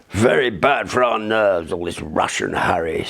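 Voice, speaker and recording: In a raspy put-on character voice, a man talks at a fairly low pitch and moderate pace with lively intonation. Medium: read story.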